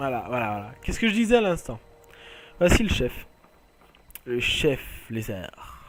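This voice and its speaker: This man's pitch is fairly high and swings very widely. He speaks at a very slow pace. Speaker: gaming video creator. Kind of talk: let's play commentary. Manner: halting.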